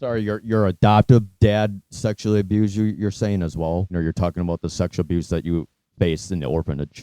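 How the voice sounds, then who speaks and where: A man with a very deep, low pitch talks at a very fast pace with ordinary pitch variation. The sound is dry and close with no echo, and music plays in the background. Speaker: interviewer, channel host. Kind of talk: interview questions.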